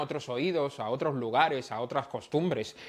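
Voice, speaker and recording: A man speaks at a moderate pace in a plain, everyday voice. The background is quiet. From Dominican Republic. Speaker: music journalist. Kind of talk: podcast interview answer.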